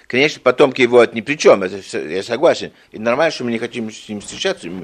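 A man speaks at a very fast pace. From Belgium. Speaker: retired engineer. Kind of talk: interview. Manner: halting.

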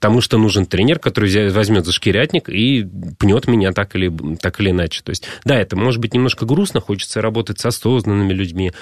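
In a normal speaking voice, a man talks at a fairly quick pace and fairly low pitch with ordinary pitch variation, in a dry, close sound with no echo. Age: 30s. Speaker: fitness trainer. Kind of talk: radio interview. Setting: radio studio.

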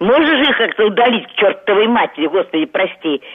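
Her pitch swinging very widely, a woman speaks at a medium pitch. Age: 70s. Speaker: radio caller. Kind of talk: call-in question. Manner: agitated.

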